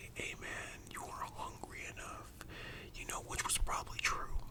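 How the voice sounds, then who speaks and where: Through noticeable background noise, a man whispers in a gentle tone. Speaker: ASMR creator telling a personal story about working at a fast-food restaurant. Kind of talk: ASMR storytime, casual talk to camera. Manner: soft whispers, gentle.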